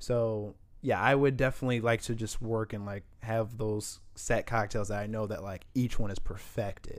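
A man with a Midwestern US accent, fairly even intonation, and a very clean recording with a silent background. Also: medium pitch for a man, moderate pace, hardly any pauses. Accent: US Midwest. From Indianapolis, Indiana (born St. Paul, Minnesota). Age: 20s. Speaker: bartender. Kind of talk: casual chat. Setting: studio.

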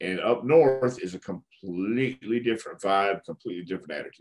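A man with a Texan accent speaks at a medium pitch and a moderate pace. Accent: Texan American. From Texas (El Paso, then Houston). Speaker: retired pro wrestler and wrestling trainer. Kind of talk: interview. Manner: halting, many fillers.

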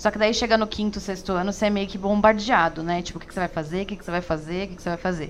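Over noticeable background noise, a woman speaks at a very fast pace with hardly any pauses. Her pitch is medium and her intonation fairly even. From São Paulo, Brazil. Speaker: emergency medicine resident. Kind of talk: interview.

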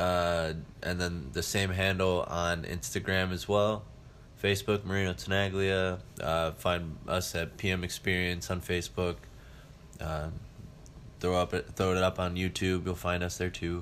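A man with an American accent speaks at a very deep, low pitch in a monotone, flat intonation. His pace is fairly slow, with long, frequent pauses. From Ohio, Cleveland suburbs. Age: 20s. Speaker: professional wrestler. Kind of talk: casual interview.

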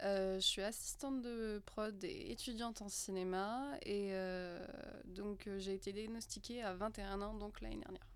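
A woman with a plain, everyday voice speaks at a fairly slow pace with ordinary pitch variation. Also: medium pitch for a woman. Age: 20s. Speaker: film student and production assistant. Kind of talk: casual round-table chat.

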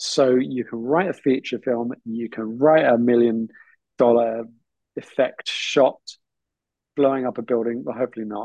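A man with a British accent, medium pitch and a dark, mellow tone, at a moderate pace with long, frequent pauses. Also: ordinary pitch variation, dry, close sound with no echo. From southern England. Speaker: filmmaker and educator. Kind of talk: interview.

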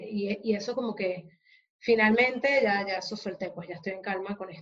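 Her pitch moves in an ordinary way. The woman keeps up a fairly quick pace. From Venezuela. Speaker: psychologist and HR consultant. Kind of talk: interview.

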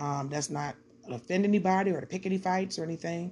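In an American accent, the voice is somewhat breathy and dark, mellow in tone, delivered at a very fast pace. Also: woman. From Detroit, Michigan. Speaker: podcaster doing Bible study. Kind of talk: casual Bible study talk. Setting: home recording.

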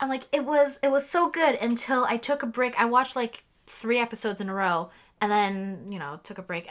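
A woman's fairly high voice, fairly quick pace and lively intonation on a very clean recording with a silent background. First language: not English; English is her third language. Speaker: podcast co-host. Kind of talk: casual chat.

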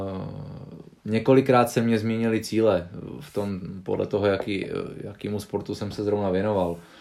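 Pausing long and often, a man speaks at a moderate pace with fairly even intonation and big swings in loudness. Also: fairly low pitch for a man. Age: 20s. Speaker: professional arm wrestler. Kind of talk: casual interview.

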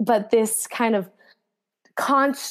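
A woman with an unremarkable speaking voice and an American accent, at a fairly slow pace with ordinary pitch variation. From New Jersey, US. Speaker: professional runner. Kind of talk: casual interview.

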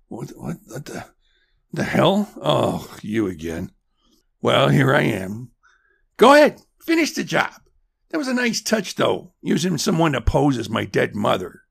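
A man speaks at a moderate pace in a put-on character voice, raspy and fairly high-pitched, with long, frequent pauses. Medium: audio drama. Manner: gruff, defensive.

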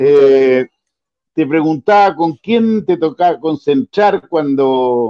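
A man speaks very slowly with lively intonation and a fairly high pitch. His tone is dark and mellow, and the sound is dry and close with no echo. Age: 60s. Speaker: football show host. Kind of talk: casual interview.

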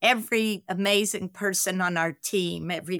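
With a Southern US accent, a woman speaks at a medium pitch and moderate pace in a dry, close sound with no echo on a very clean recording with a silent background. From US South, Carolinas. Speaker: nonprofit co-founder.

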